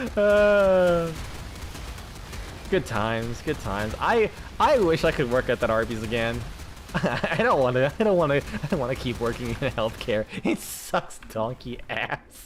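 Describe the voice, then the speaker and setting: A man with an American accent speaks at a fairly slow pace in a medium pitch, his voice swinging very widely in pitch over noticeable background noise. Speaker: video game streamer. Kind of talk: live gameplay commentary. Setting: live stream. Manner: halting, repeats words; casual, swearing.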